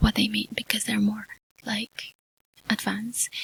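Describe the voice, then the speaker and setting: Soft-spoken and whispering, a woman talks at a moderate pace in a dry, close sound with no echo. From Mexico. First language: Spanish. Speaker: ASMR YouTuber. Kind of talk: ASMR ramble. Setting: home studio. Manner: soft-spoken, whispery.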